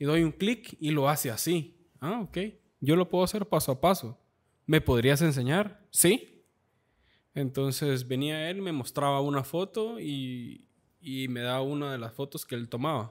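Against a quiet background, a man with a fairly high voice speaks at a fairly slow pace. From Guatemala, Esquipulas; Guatemala. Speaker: photographer; podcast guest. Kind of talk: casual chat. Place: studio. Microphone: studio mic.

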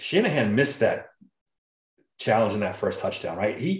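In a room with audible echo, a man speaks at a moderate pace in a somewhat breathy voice. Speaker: podcast co-host. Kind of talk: casual sports podcast chat. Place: home room. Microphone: video call.

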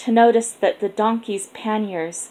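Fairly even intonation in a plain reading aloud

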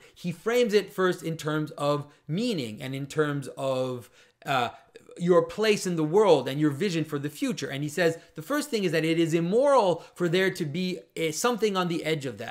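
Lively intonation carries the speech at a moderate pace over a quiet background. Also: man. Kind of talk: commentary.

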